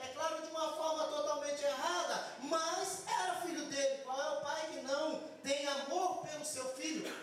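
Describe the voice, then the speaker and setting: Someone shouts at a fairly slow pace, with hardly any pauses and fairly even intonation. Audible room echo and noticeable background noise are present. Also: man, extremely high pitch for a man. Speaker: guest preacher. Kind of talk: sermon. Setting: church service. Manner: builds up to shouting while preaching; soft-spoken when talking, shouting when preaching.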